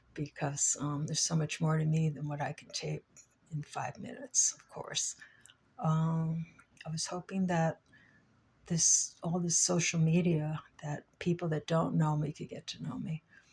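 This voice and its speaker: A woman's very deep, low voice, somewhat breathy, fairly slow and fairly even in intonation, with big swings in loudness. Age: 60s. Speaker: vlogger. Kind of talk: personal vlog monologue. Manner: halting, many fillers.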